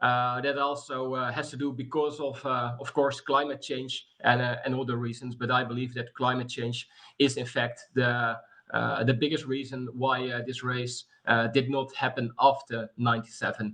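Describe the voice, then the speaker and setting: A man at medium pitch with a Dutch accent and monotone, flat intonation. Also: moderate pace. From Netherlands. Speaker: sports organisation vice chair. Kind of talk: webinar welcome speech. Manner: halting, many fillers.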